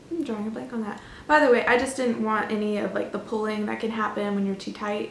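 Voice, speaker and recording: Speaking very fast, a woman with an American accent has a fairly high pitch and ordinary pitch variation. Noticeable background noise and audible room echo fill the recording. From Florida, US. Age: 20s. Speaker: knitting podcaster, university student. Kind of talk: casual vlog chat. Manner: chatty, with frequent fillers.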